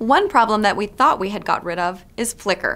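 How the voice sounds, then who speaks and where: A woman speaks at a moderate pace in a medium pitch with ordinary pitch variation. It is a plain, everyday voice. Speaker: news presenter. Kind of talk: newscast read. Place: studio.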